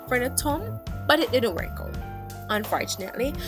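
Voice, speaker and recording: Someone speaks with a Jamaican accent. Music plays in the background. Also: woman. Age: 20s. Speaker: beginner nail tech. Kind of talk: casual talk to camera.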